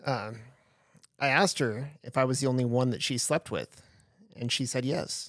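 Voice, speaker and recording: A man at medium pitch with fairly even intonation and long, frequent pauses, in a very clean recording with a silent background. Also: moderate pace. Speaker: podcast host. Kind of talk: casual chat. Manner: loud, not soft-spoken.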